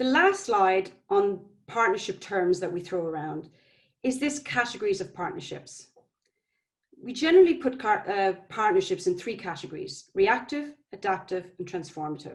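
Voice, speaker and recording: Speaking at a moderate pace in an Irish accent, the voice swings very widely in pitch and shows big swings in loudness. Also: woman, medium pitch for a woman. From Ireland. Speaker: public health nutrition manager. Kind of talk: conference presentation.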